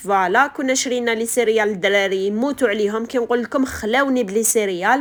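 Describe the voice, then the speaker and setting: At a moderate pace, a woman with an Algerian accent speaks with ordinary pitch variation. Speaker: homemaker vlogger. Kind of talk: casual vlog narration.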